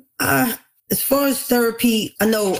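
A woman speaks with a New York accent. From New York City, the Bronx. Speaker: author. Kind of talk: interview.

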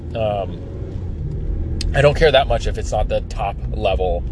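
A man talks while noticeable noise fills the background. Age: 30s. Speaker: podcast host and pool service business owner. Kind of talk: solo monologue podcast. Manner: halting, many fillers.

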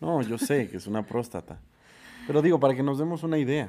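A man speaks at a fairly high pitch with a dark, mellow tone. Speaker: podcast co-host. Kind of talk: casual chat.

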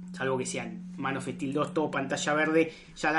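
A woman's very deep, low voice in a Rioplatense accent at a moderate pace. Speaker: podcast host. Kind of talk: casual chat.

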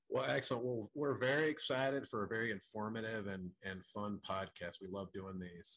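Using an ordinary speaking voice, a man talks at a fairly quick pace with medium pitch and ordinary pitch variation. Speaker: podcast host. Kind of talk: casual interview.

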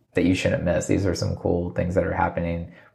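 With an American accent, this voice has a dark, mellow tone and is somewhat breathy. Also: man. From Virginia, US. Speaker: magazine founder and entrepreneur. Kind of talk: casual interview. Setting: spare room at office.

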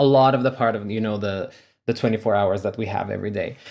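A man's normal speaking voice at medium pitch, with ordinary pitch variation. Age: 20s. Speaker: podcast host. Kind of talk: casual chat.

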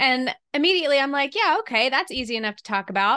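In a very clean recording with a silent background, a woman with an American accent speaks in a high, bright, sharp voice. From US South. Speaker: podcast co-host. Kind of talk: casual chat.

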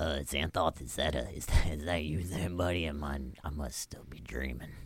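In a put-on character voice, a man sounds raspy and very deep, low-pitched, with fairly even intonation at a fairly slow pace.

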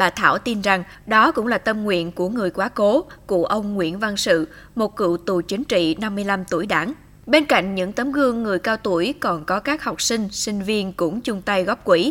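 With a normal speaking voice, a woman talks at a moderate pace with a medium pitch and lively intonation. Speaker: news reporter. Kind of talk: news narration. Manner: formal.

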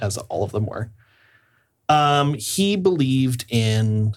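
A man with an American accent sounds somewhat breathy in a very clean recording with a silent background. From Iowa, US Midwest. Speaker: play therapist. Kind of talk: casual chat.

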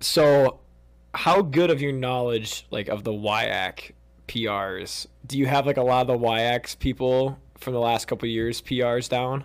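He has an unremarkable speaking voice pitched in the medium range for a man. His pace is fairly slow and his pitch varies in an ordinary way. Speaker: podcast co-host and student-athlete. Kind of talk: podcast interview.

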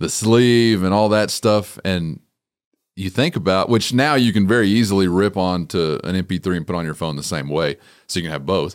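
In a West Texas accent, a man with a very deep, low pitch speaks at a moderate pace with ordinary pitch variation on a very clean recording with a silent background. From West Texas (Littlefield). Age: 30s. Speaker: rancher and podcaster. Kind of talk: casual chat.

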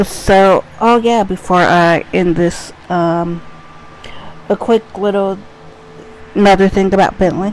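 A woman with an American accent speaks very slowly at a medium pitch, with long, frequent pauses and monotone, flat intonation. Her loudness stays very even over noticeable background noise. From US Midwest, Cincinnati, Ohio. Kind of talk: casual solo monologue.

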